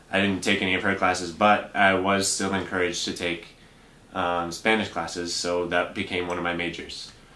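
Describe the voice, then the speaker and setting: A man with an American accent speaks at a moderate pace in a very deep, low, monotone voice. Room echo is audible around him. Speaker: bank teller and Spanish interpreter. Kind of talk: interview. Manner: hesitant, many fillers.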